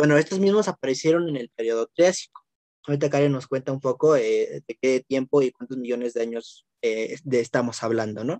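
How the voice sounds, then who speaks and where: Dry and close with no echo, the dark, mellow voice moves at a fairly quick pace with ordinary pitch variation. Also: man, medium pitch for a man. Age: 20s. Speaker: podcast co-host. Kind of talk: casual science chat.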